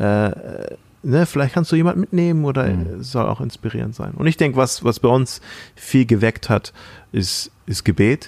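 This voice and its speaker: Here is a man with an unremarkable speaking voice. His intonation is lively and his pace fairly quick. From Thailand. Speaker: podcast host and church planter. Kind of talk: casual chat.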